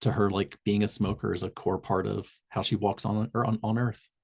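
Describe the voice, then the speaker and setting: A man with an American accent, fairly low pitch and vocal fry. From Southern Indiana, US. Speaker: public health tobacco cessation trainer. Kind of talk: online community call presentation. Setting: video call. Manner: frequent fillers and self-corrections.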